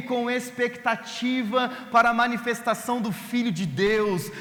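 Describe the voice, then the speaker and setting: A man's extremely high-pitched voice at a very slow pace, fairly even in intonation, with audible room echo and noticeable background noise. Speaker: pastor. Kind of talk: sermon.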